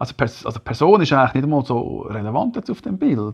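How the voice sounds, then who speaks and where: Against a quiet background, a man with a Swiss accent speaks at a fairly quick pace with very wide pitch swings. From German-speaking Switzerland. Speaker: podcast host. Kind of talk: casual chat. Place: home room. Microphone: lapel.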